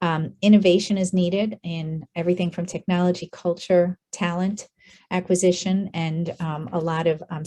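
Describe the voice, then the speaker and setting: A woman's somewhat breathy, fairly low voice with a dark, mellow tone, monotone, flat intonation and a moderate pace. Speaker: healthcare workforce expert. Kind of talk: conference presentation.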